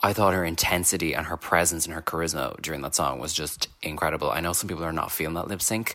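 The speech is fairly quick, in an Irish accent. Intonation stays fairly even. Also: man. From Ireland. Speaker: listener caller. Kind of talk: voicemail.

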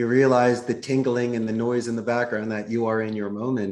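Here a man talks at a medium pitch. His pitch varies in an ordinary way. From US Northeast, Philadelphia. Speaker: call center CEO. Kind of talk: podcast interview.

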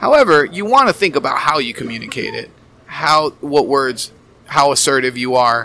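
Someone with an American accent speaks with ordinary pitch variation amid noticeable background noise. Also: man, fairly high pitch for a man, moderate pace. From Miami, US. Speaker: therapist and wellness coach. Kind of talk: casual chat.

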